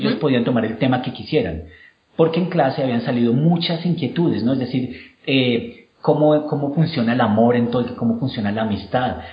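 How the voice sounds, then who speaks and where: Against audible room echo, a man with a Colombian accent talks at a fairly quick pace. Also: medium pitch for a man, ordinary pitch variation. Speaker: university professor. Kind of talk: interview.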